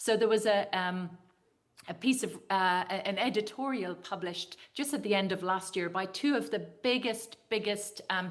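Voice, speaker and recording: In a room with audible echo, a woman with an Irish accent and a medium pitch speaks at a moderate pace. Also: ordinary pitch variation. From Ireland. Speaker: dietitian and nutrition scientist. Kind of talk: conference talk. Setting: video call to a conference audience. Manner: hesitant, with many fillers.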